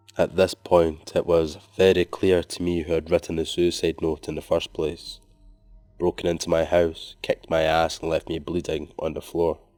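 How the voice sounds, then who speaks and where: With music in the background, a man with a very deep, low voice speaks at a moderate pace in a monotone, flat way. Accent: Scottish. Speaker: horror story narrator. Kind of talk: scary story reading.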